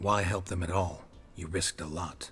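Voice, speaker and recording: A man puts on a character voice with a very deep, low pitch. He keeps a deadpan tone at a moderate pace. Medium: video game. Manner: terse, deadpan.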